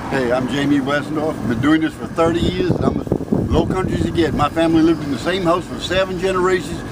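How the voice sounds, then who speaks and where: Loud background noise fills the recording. A man talks at a very fast pace with ordinary pitch variation. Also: dry sound with no echo. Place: street. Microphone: phone near.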